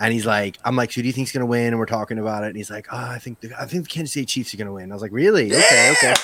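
A man's medium-pitched voice at a very fast pace, with hardly any pauses, ordinary pitch variation and noticeable background noise. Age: 40s. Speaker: fantasy football podcaster and writer. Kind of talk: casual chat.

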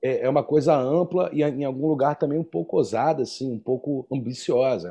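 A man with a Rio de Janeiro accent speaks fairly quickly with hardly any pauses, his fairly high voice dark and mellow in tone and lively in intonation. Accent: Carioca Brazilian Portuguese. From Rio de Janeiro, Brazil. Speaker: percussionist and podcast co-host. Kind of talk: casual chat.

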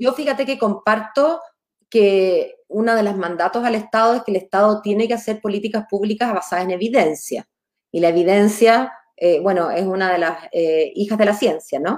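A woman talks at a moderate pace, and her intonation is lively. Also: medium pitch for a woman. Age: 40s. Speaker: lawyer and political candidate. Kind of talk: interview.

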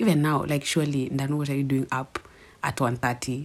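This woman talks quietly at a very fast pace. Her voice is very deep and low. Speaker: podcast host. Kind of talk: casual monologue. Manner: quiet, low.

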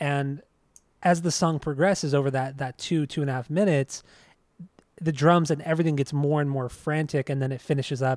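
In a very clean recording with a silent background and a dry, close sound with no echo, a man with a normal speaking voice talks at a fairly quick pace, his fairly high pitch held in fairly even intonation. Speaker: podcast host. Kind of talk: casual chat.

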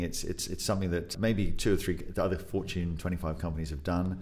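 In an English accent, a man speaks at a moderate pace with a very deep, low pitch. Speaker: podcast guest co-host.

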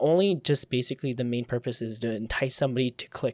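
In a very clean recording with a silent background, a man speaks at a fairly quick pace and a medium pitch. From US, California Bay Area (Filipino-American). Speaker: podcast co-host, photographer and YouTuber. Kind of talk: casual chat.

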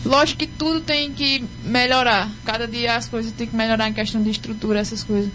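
Over music in the background and with audible room echo, a woman speaks at a fairly high pitch. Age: 20s. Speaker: singer. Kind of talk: interview. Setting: radio studio.

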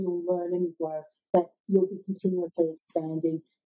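Using an Australian accent, a woman speaks at a moderate pace with medium pitch. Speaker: sales coach. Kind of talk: interview.

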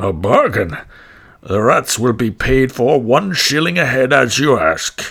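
At a fairly slow pace, a man of medium pitch talks with very wide pitch swings. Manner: sly, condescending.

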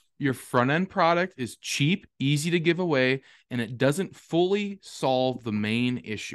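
Fairly high-pitched male voice with an Upper Midwest accent, fairly slow and lively in intonation, with a dry, close sound with no echo over a quiet background. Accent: Upper Midwest American. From southwest Wisconsin. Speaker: regenerative farmer and realtor, co-host. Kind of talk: casual conversational podcast.

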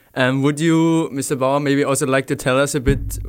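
Against noticeable background noise, a man speaks at medium pitch and moderate pace with monotone, flat intonation. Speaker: school podcast host. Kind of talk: interview.

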